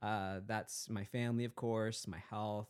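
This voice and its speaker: A man speaks at a fairly low pitch for a man, with ordinary pitch variation. He has a plain, everyday voice. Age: 30s. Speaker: podcast host. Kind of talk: casual chat. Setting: home office.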